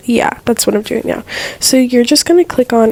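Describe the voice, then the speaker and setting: A woman's voice over noticeable background noise. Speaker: video editing tutorial creator. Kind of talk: tutorial voiceover. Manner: casual, filler-heavy.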